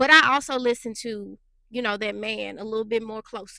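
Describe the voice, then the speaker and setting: A woman speaks at a moderate pace in an animated tone, her fairly high voice bright and sharp. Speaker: relationship vlogger. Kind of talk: casual monologue.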